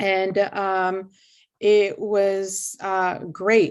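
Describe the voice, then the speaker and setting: With a Portuguese accent, a woman speaks at a medium pitch on a very clean recording with a silent background. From Brazil, Sao Paulo. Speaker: university lecturer. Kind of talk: interview. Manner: hesitant, many fillers.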